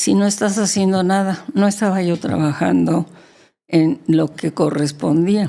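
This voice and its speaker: This woman's voice has a dark, mellow tone with vocal fry and moves at a fairly slow pace. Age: 80s+. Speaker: interview guest. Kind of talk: interview answer.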